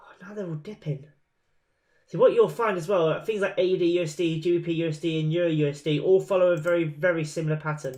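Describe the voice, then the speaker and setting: A high-pitched man talking at a very fast pace, with big swings in loudness. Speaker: trading webinar host. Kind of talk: live webinar commentary. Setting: live webinar. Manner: casual, animated, humming filler sounds; occasional stutter.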